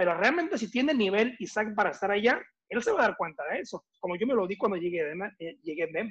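A man talks at a very fast pace with lively intonation. His pitch sits high. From northern Mexico (Mexicali, Baja California). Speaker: former American football player. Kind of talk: interview.

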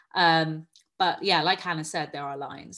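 A woman speaks at a very fast pace with vocal fry, a very deep, low pitch and a bright, sharp tone, in a very clean recording with a silent background. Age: 30s. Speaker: magazine editor and writer. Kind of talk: panel discussion.

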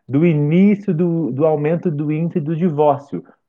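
This man has a fairly high pitch and talks at a moderate pace in a normal speaking voice. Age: 30s. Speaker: podcaster. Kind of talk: casual chat.

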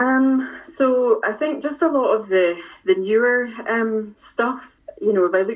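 Here a woman speaks with a Scottish accent. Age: 40s. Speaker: music fan. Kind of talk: casual chat. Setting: video call.

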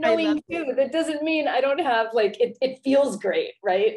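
A woman speaks in a normal speaking voice at a moderate pace. Her intonation is lively. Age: 40s. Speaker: life coach and former therapist. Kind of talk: interview.

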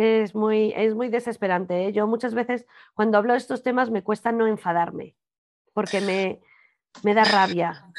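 A woman's unremarkable speaking voice, fairly high in pitch, with fairly even intonation at a moderate pace. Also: quiet background. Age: 40s. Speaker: podcast host, body image coach. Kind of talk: casual interview chat.

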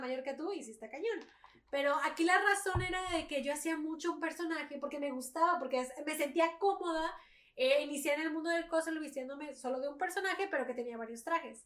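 At a fairly quick pace, the speech carries ordinary pitch variation. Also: woman. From Mexico. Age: 20s. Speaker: cosplayer and streamer. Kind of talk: casual chat.

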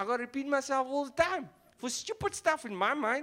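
A man's raised, projected voice at an extremely high pitch and a fairly quick pace. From South Africa, Cape Town. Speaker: stand-up comedian. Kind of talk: stand-up.

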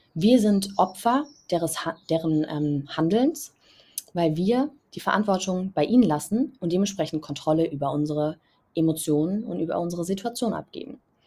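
A woman's somewhat breathy, fairly low voice with a dark, mellow tone, lively intonation and a moderate pace. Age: 20s. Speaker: podcast host. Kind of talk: solo podcast monologue. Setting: outdoors on balcony.

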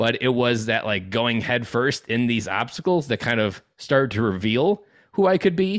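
This is a man with an ordinary speaking voice. His pitch is medium and his intonation lively. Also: very clean recording, silent background. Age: 30s. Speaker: dad coach, former Marine. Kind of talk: interview.

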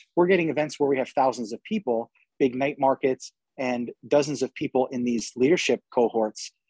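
A man's dark, mellow voice with an American accent, in a dry, close sound with no echo. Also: medium pitch for a man, ordinary pitch variation. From New York. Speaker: community organization founder. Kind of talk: casual chat. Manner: fast; animated.

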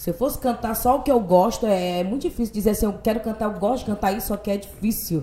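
A woman talks very fast with hardly any pauses. Her pitch is fairly high, with ordinary pitch variation. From Parintins, Amazonas, northern Brazil. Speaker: singer and radio host. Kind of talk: casual interview chat.

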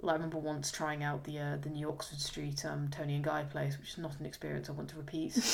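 Against noticeable background noise, a woman talks very fast with hardly any pauses. Her very deep, low voice stays monotone and flat. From rural England. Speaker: podcast host. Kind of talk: casual chat.

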